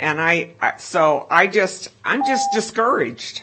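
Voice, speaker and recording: Very slowly and with lively intonation, a woman talks in an American accent. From US Midwest (Iowa). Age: 70s. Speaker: public commenter at school board meeting. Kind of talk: public comment speech. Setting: public meeting room.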